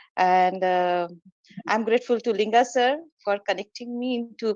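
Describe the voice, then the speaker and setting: A woman talks at a moderate pace with an Indian accent. Her pitch sits fairly high. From India, Kolkata. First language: Hindi. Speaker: meditation practitioner, former teacher. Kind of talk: personal testimony in online meeting. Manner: halting, many fillers.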